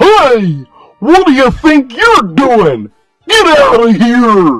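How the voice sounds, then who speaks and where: Shouting in a put-on character voice, a man speaks at a very slow pace with extremely high pitch and very wide pitch swings, while faint music plays in the background. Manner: yelling, scolding.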